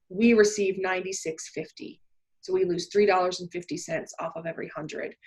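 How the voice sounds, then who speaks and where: With a Canadian accent, a woman of medium pitch talks at a fairly quick pace, her intonation fairly even but her loudness swinging widely. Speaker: church district administrator. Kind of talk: webinar tutorial. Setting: video call. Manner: fast.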